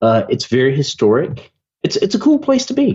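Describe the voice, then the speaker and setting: Speaking in a Southern US accent at a moderate pace, a man with a fairly high pitch sounds animated and somewhat breathy. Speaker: digital marketing agency owner. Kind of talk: podcast interview.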